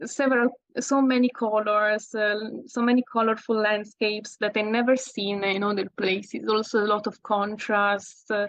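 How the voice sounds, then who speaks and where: A woman's fairly high, monotone, flat voice at a moderate pace, in a dry, close sound with no echo. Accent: slight Italian. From Italy. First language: Italian. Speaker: landscape photographer. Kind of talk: interview. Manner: halting.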